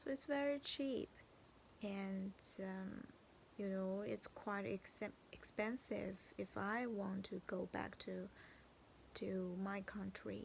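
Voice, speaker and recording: Speaking at a very slow pace with long, frequent pauses, the voice carries a Chinese accent. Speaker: vlogger. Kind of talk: video diary. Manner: halting.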